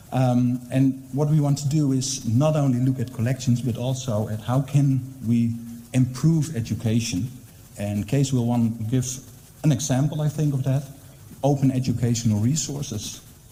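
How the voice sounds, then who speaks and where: Through audible room echo, a man with a somewhat breathy, dark, mellow tone speaks at a moderate pace, medium in pitch with fairly even intonation. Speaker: university librarian. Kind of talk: conference presentation. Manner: hesitant, many fillers.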